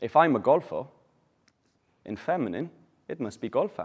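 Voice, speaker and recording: This man talks in a Welsh accent. His pace is fairly quick. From Wales. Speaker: English teacher. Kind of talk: language class.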